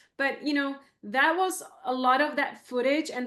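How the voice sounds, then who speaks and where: A fairly slow pace with fairly even intonation. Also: woman. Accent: Czech. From Czech Republic. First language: Czech. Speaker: photographer. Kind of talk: interview.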